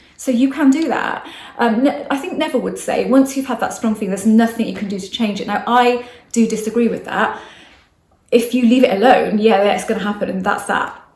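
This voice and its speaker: A woman talks at a fairly quick pace with ordinary pitch variation, and the room echo is audible. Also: fairly high pitch for a woman. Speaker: manifestation coach. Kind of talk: casual talk to camera. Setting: outdoors. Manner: fast.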